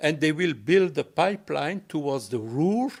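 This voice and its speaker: Speaking with a French accent, a man with a fairly high pitch uses lively intonation in a very clean recording with a silent background. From Belgium. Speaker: ecosocialist speaker. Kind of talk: public talk Q&A. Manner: halting.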